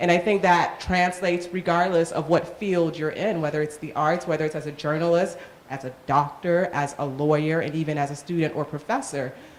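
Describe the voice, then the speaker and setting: Against noticeable background noise, a woman with a Haitian accent speaks at a fairly low pitch with fairly even intonation and hardly any pauses. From Miami, Florida (Haitian household). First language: Haitian Creole. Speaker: panel moderator. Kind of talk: panel discussion.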